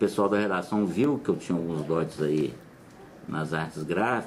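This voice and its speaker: A man with a very deep, low voice, lively intonation and a moderate pace. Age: 50s. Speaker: former TV art editor. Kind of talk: interview reminiscence. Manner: halting, with self-corrections.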